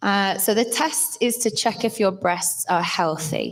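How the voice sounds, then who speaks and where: A woman with a northern English accent speaks at a medium pitch. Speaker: health awareness workshop presenter. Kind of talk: presentation to live audience. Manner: hesitant, many fillers.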